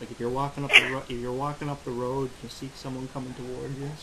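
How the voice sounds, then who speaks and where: A man with a Newfoundland accent speaks at a very fast pace in a medium pitch, his intonation monotone and flat. His loudness swings widely, and noticeable background noise runs underneath. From Newfoundland, Canada. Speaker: interviewer. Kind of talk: casual interview.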